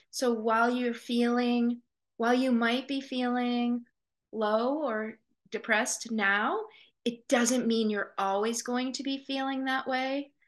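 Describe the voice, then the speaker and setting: A woman with a high pitch speaks at a very slow pace in a monotone with flat intonation. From Maine (Portland). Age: 50s. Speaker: pediatrician and coach. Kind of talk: interview.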